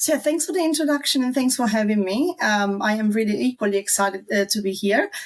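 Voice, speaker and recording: A woman with an Italian accent and a fairly high voice talks at a very fast pace with hardly any pauses, lively intonation and very even loudness. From southern Italy. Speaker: marketing strategist. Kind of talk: online video interview.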